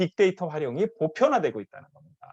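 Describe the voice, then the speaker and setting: Talking at a fairly quick pace, a man uses a high pitch. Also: dry, close sound with no echo. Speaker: professor. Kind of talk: conference presentation. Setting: online live conference. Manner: fast.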